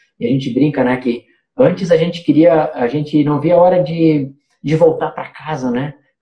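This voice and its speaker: Pitched fairly high, a man with an unremarkable speaking voice talks at a moderate pace with ordinary pitch variation. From Santa Catarina interior, Brazil. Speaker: missionary. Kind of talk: casual chat.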